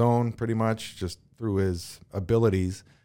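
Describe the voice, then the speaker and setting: In a very clean recording with a silent background, a man speaks in a fairly low voice with a dark, mellow tone. His intonation is fairly even. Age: 40s. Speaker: former pro hockey player. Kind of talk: interview.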